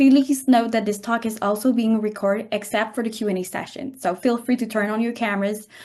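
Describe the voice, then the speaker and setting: Somewhat breathy, a woman with a French Canadian accent talks at a fairly quick pace and fairly high pitch with fairly even intonation. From French Canada. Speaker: webinar host, radiology resident. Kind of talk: online presentation introduction.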